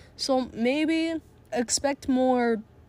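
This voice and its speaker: A woman talks with ordinary pitch variation on a very clean recording with a silent background. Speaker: solo podcaster. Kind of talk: casual monologue. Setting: recording in a closet at home. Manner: quiet, keeping voice down.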